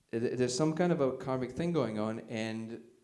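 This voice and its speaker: A man's voice carries audible room echo. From Soviet Union (Russia). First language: Russian. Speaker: conference speaker. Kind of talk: talk with audience questions. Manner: casual, filler-heavy.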